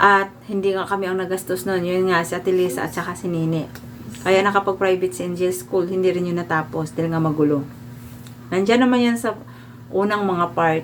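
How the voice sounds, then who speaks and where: A woman's fairly low voice, with ordinary pitch variation, comes through noticeable background noise. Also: fairly quick pace. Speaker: vlogger. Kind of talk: storytelling monologue.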